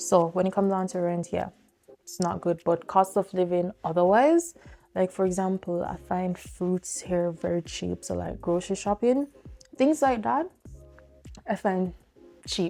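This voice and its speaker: Music plays in the background as a woman speaks in a Jamaican accent, fairly slowly, with long, frequent pauses. Her pitch is medium, with ordinary variation. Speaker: vlogger and sports journalist. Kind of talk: casual sit-down vlog talk. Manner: casual, with filler words.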